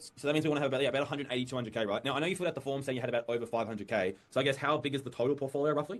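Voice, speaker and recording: A man with an Australian accent speaks at a very fast pace and medium pitch, with ordinary pitch variation and hardly any pauses. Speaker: sales advisor on a recorded call. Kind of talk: sales call. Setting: recorded call. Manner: casual, friendly.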